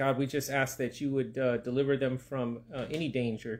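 At a moderate pace, a man talks with fairly even intonation. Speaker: pastor. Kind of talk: prayer and sermon. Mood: calm, reverent. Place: home room. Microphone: phone near.

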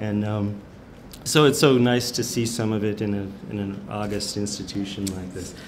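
A man speaks at a moderate pace with a fairly low pitch and fairly even intonation. There is light background noise. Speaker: cartoonist and educator; educator. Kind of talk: short presentation. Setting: stage with audience. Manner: halting. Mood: warm, amused. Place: hall. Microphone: podium.

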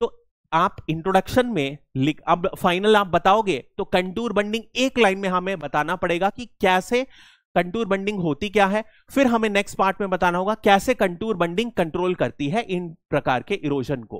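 The man speaks at a fairly slow pace, the sound dry with no echo and the background quiet. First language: English-dominant, less fluent in Hindi (speaking Hindi). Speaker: exam coaching teacher. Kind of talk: lecture. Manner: hesitant, with fillers. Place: classroom. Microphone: headset.

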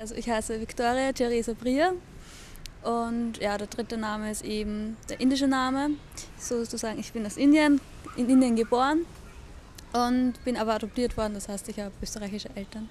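This woman has a fairly high pitch and a moderate pace, with long, frequent pauses and fairly even intonation. The sound is dry with no echo, over light background noise. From Austria, Lower Austria (Hollabrunn); Lower Austria. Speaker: interviewee. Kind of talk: personal testimony; interview answer. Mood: cheerful, relaxed. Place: garden.

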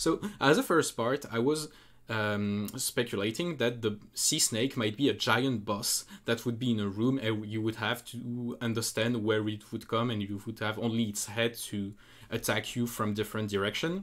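In a French accent, a man talks at a moderate pace and medium pitch with fairly even intonation. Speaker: speedrunner. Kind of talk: casual game analysis commentary.

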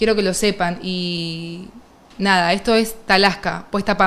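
The voice belongs to a woman. She keeps a fairly even intonation. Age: 30s. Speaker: streamer, interviewer. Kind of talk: interview, casual chat. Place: studio.

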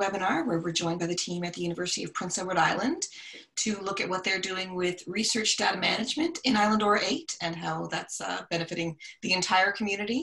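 Pitch varies in an ordinary way as the woman talks. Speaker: webinar host. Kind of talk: webinar introduction. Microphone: video call.

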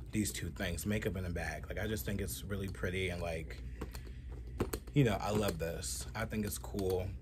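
Background noise is noticeable throughout. The speaking pace stays moderate. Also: man. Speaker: fashion vlogger. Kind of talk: casual vlog chat. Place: home room. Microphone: phone near.

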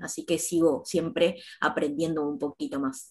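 Against a quiet background, a woman speaks at a moderate pace in a fairly low pitch. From Argentina, Campana, Buenos Aires province; Buenos Aires province, Argentina. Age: 30s. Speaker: fashion designer and university lecturer; university lecturer. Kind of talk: panel discussion. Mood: calm, friendly. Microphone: earbuds.

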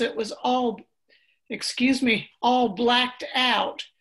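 A high-pitched woman with an American accent. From US South. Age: 80s+. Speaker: book club participant. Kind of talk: book club discussion. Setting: video call.

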